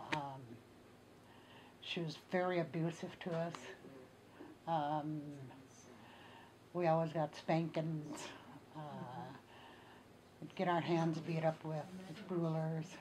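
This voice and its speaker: Amid audible room echo, a woman speaks very slowly and flatly, with long, frequent pauses. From northern Minnesota, Ojibwe community. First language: Ojibwe. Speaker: Ojibwe elder. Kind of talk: oral history interview. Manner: halting, many fillers.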